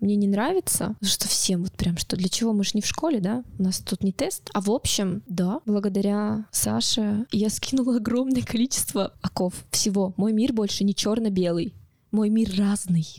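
A woman at medium pitch with ordinary pitch variation, somewhat breathy, at a moderate pace and very even loudness, in a dry, close sound with no echo. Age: 30s. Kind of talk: personal testimony interview. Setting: studio.

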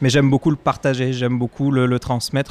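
At a fairly quick pace, an unremarkable speaking voice comes through with a dry, close sound and no echo. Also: man. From France. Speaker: executive chef. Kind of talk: casual chat.

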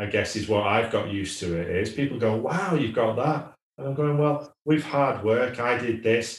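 Speaking with a Lancashire accent, a man sounds somewhat breathy, uses ordinary pitch variation, and hardly pauses at all. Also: medium pitch for a man, moderate pace. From northern England, Wigan. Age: 40s. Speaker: entrepreneur, managing director. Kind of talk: podcast interview.

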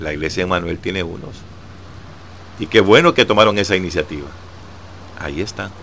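Fairly quick delivery broken by long, frequent pauses, big swings in loudness, noticeable background noise. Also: man, very deep, low pitch for a man, fairly even intonation. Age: old. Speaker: devotional radio host. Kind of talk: devotional reflection.

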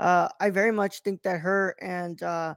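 Recorded very cleanly over a silent background, a man speaks loudly at a moderate pace in a high pitch with monotone, flat intonation. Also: dry, close sound with no echo. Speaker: podcast host. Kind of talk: casual chat, movie review.

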